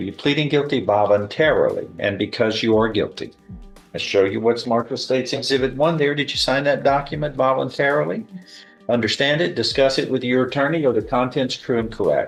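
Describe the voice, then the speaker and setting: A man talks fairly quickly at a medium pitch, with ordinary pitch variation. Background music plays behind him. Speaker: judge presiding over a plea and sentencing hearing. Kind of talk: formal courtroom proceeding, reading plea admonishments and sentence.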